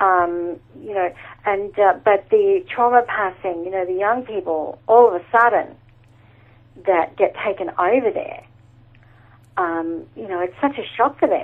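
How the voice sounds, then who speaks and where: Pausing long and often, a woman with an Australian accent speaks at a fairly slow pace in a medium pitch, with ordinary pitch variation and big swings in loudness. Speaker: animal communicator and medium. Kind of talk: interview. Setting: remote call.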